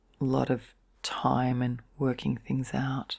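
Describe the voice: Her voice is extremely low in pitch for a woman, with vocal fry and a slightly husky edge.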